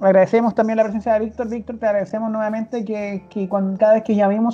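Very fast and monotone, with flat intonation, a woman speaks in a Chilean accent. Her voice is fairly high, dark, mellow and somewhat breathy. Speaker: podcast host. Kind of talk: casual chat.

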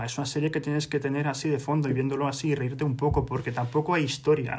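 This man's pitch is fairly high. His intonation is monotone and flat. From Spain, Madrid. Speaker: podcast co-host. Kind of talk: casual chat.

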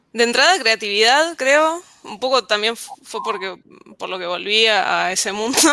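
In a normal speaking voice, a woman talks at a fairly slow pace with lively intonation and big swings in loudness. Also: fairly high pitch for a woman. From Argentina, Ushuaia. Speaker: software engineer. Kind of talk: casual panel chat.

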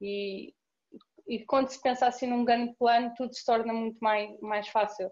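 In a plain, everyday voice, a woman talks at a moderate pace with a fairly high pitch and fairly even intonation, her loudness swinging widely. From Portugal, Cascais. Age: 20s. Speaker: student volunteer. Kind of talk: casual interview chat.

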